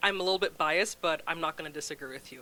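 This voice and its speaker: A woman is speaking. Her tone comes across bright and sharp. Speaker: food bank representative. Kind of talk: casual interview. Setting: live talk show.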